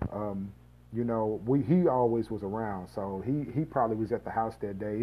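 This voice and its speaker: A man speaks at a moderate pace in a fairly low pitch, with an unremarkable speaking voice. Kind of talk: personal storytelling monologue. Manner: casual, filler-heavy.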